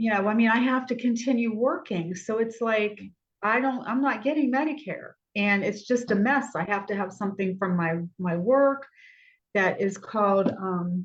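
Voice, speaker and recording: Her voice is fairly high and somewhat breathy as the woman speaks. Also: ordinary pitch variation, moderate pace. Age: 60s. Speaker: doctor, talk show guest. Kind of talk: casual chat. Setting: video call.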